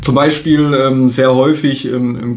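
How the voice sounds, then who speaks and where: A man at a medium pitch in a flat monotone, with noticeable background noise and audible room echo. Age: 30s. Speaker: health coach. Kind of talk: casual interview chat.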